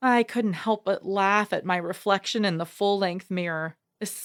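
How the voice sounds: The clip has a natural reading voice. The background is quiet.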